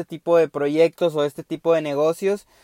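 A man talks at a fairly quick pace in a very clean recording with a silent background, the sound dry and close with no echo. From Mexico, Veracruz. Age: 20s. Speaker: podcast host, mechatronics engineer. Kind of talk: casual monologue. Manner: halting, with many fillers and repetitions.

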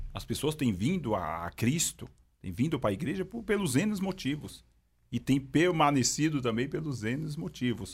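A man speaks with very wide pitch swings. His voice has vocal fry. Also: fairly high pitch for a man, moderate pace. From São Paulo, east side (Itaim Paulista). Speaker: police sergeant and pastor. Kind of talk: personal testimony in casual interview.

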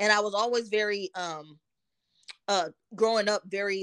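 In a dry, close sound with no echo, a woman with a normal speaking voice speaks at a medium pitch with fairly even intonation, on a very clean recording with a silent background. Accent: American. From Texas, Dallas. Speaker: licensed counselor, former athlete. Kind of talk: interview.

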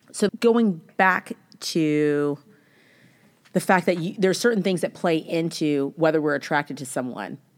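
A woman's fairly low, animated voice with lively intonation, at a fairly slow pace, in a very clean recording with a silent background. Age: 30s. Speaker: podcast host. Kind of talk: casual chat.

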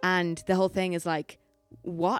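A woman with an Irish accent speaks at a medium pitch, with music playing in the background. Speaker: podcast host. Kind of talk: casual interview chat.

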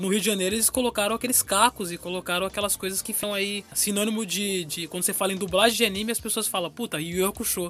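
Over noticeable background noise, a man speaks very fast with hardly any pauses. His pitch is high and his intonation fairly even. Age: 20s. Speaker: podcast host. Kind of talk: casual chat.

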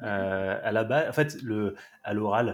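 A man speaks with ordinary pitch variation. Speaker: athletics meeting organiser. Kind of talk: casual interview. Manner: hesitant, repetitive.

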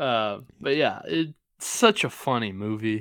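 A man at a very slow pace with lively intonation, on a very clean recording with a silent background. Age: 20s. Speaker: sports podcast co-host. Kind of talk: casual chat.

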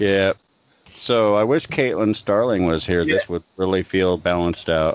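Here a man with a plain, everyday voice talks at a fairly low pitch and a moderate pace. His pitch varies in an ordinary way and his loudness is very even. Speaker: podcast host. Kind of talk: casual drunken chat.

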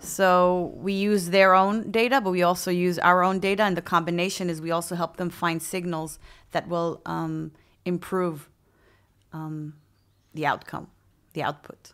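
On a very clean recording with a silent background, a woman with a normal speaking voice speaks at a moderate pace with fairly low pitch and fairly even intonation. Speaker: VP of people at a tech company. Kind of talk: interview.

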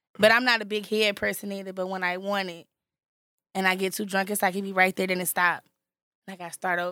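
A woman speaks very fast at a medium pitch in a bright, sharp tone, with monotone, flat intonation. Her loudness swings widely on a very clean recording with a silent background. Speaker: podcast co-host. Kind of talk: casual podcast chat.

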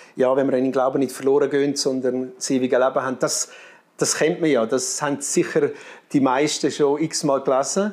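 Speaking with a Graubünden accent, a man uses a fairly high pitch and fairly even intonation. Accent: marked Graubünden Swiss German dialect. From Switzerland, Graubünden. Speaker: missionary. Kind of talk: interview. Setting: studio.

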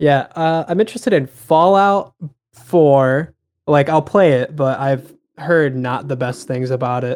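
Ordinary pitch variation runs through this man's ordinary speaking voice, fairly high in pitch and at a fairly slow pace. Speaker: podcast co-host. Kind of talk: casual chat. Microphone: mic peaks and distorts.

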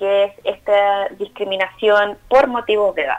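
A woman's fairly high voice in a Chilean accent at a moderate pace. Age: 30s. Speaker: psychologist and older-people rights activist. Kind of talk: interview.

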